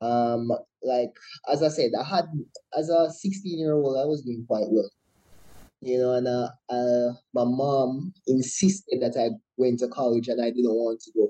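A man talks at a fairly slow pace in a medium pitch. His tone is dark and mellow. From Jamaica, Trelawny and Kingston. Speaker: entrepreneur and marine engineer. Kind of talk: interview.

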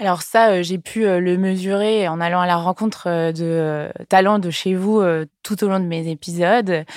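In a very clean recording with a silent background, a woman speaks at a medium pitch, fairly slow and with fairly even intonation, in a normal speaking voice. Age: 20s. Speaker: podcast host and entrepreneur. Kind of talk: interview. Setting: company offices.

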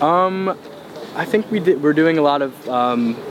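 With noticeable background noise behind him, a man speaks with an American accent and ordinary pitch variation. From Long Island, New York. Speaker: music producer. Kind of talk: casual chat.

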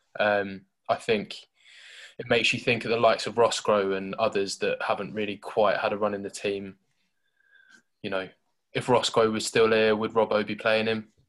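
In a southern English accent, the speaker talks at a moderate pace in a monotone, flat intonation with long, frequent pauses, captured in a very clean recording with a silent background. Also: man, fairly low pitch for a man. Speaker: football podcast host. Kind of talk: casual chat.

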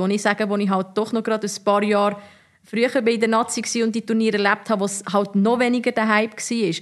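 A woman's very fast, monotone, flat delivery at a fairly high pitch. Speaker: former professional footballer. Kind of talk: casual interview.

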